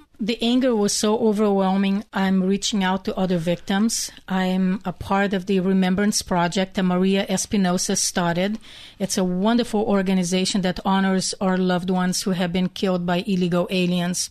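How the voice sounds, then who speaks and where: A woman with a Hungarian accent talks at a moderate pace and medium pitch, her intonation monotone and flat, her loudness very even, with hardly any pauses over a quiet background. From Hungary. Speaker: bereaved mother and activist. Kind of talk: radio interview.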